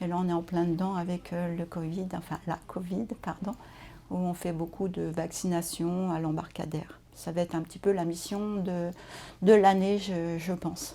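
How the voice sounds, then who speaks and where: A woman's dark, mellow voice, fairly low in pitch, flat and monotone at a fairly slow pace. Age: 60s. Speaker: nurse. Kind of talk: interview testimony. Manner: hesitant, many fillers.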